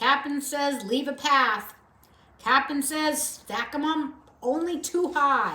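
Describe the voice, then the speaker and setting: In a put-on character voice, a woman projects a raised, high-pitched voice at a fairly slow pace. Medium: read story. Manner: curt, businesslike.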